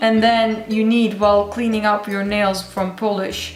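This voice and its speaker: A woman speaks with a non-native accent. Her recording has noticeable background noise and audible room echo. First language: not English. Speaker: beauty YouTuber. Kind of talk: tutorial. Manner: casual, hesitant.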